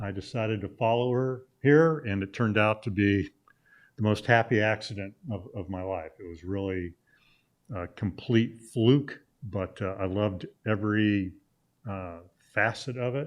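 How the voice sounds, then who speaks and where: This man's voice is fairly low and shows ordinary pitch variation. He talks at a moderate pace with big swings in loudness. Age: 60s. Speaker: sportswriter and journalism professor. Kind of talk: casual interview chat. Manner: frequent hesitations with uh.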